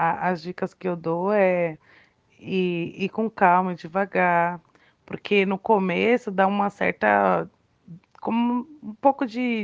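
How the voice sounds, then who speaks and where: An unremarkable speaking voice comes through with fairly even intonation. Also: woman. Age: 30s. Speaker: self-employed cake seller. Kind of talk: interview.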